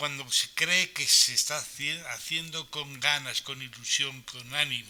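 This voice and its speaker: This man talks at a very slow pace, his pitch fairly high. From Spain, Valencian region (Aspe, Elche). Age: 60s. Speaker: center user with Alzheimer's. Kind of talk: reading aloud. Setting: conference hall, live stream.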